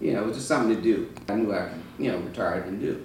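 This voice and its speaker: A man with a fairly low pitch speaks with ordinary pitch variation. There is audible room echo and noticeable background noise. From Georgia. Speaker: retired fire chief, cigar shop owner. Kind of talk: casual interview. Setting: cigar lounge.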